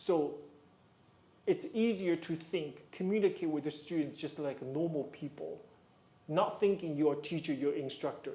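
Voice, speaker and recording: This is a man with a fairly high pitch. His tone is dark and mellow. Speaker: ballet coach. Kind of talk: livestream Q&A advice. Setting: livestream. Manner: calm, conversational.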